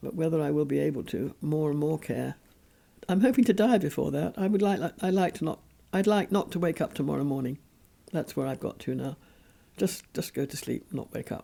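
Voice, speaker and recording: With a very deep, low pitch and vocal fry, a woman speaks in a dark, mellow tone. Her intonation is lively. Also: fairly quick pace. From England. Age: 90s. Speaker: interviewee. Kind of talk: interview.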